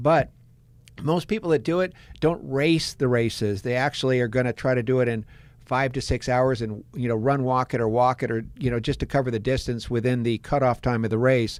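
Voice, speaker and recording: With an ordinary speaking voice, a man talks at a medium pitch and a fairly quick pace, using ordinary pitch variation. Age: 60s. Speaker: marathon runner and running coach. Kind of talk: podcast interview.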